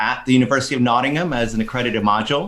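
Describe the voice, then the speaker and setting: This is a man with an American accent and a plain, everyday voice. His pitch is medium, with ordinary variation. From Texas. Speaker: social enterprise educator. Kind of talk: podcast interview.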